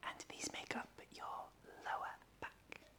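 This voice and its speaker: Whispering, a woman speaks at a very slow pace. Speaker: chiropractor. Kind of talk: ASMR pain education. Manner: whispered, soft-spoken.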